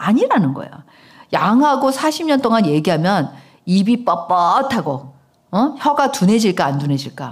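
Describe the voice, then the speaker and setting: A somewhat breathy woman speaks in an animated tone. Her pitch swings very widely at a moderate pace. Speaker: pastor. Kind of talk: sermon.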